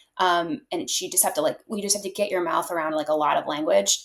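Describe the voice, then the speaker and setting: A woman talks with an American accent at a medium pitch. Her intonation is lively and her pace fairly quick. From North Carolina, US South. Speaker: actor. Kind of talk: interview conversation.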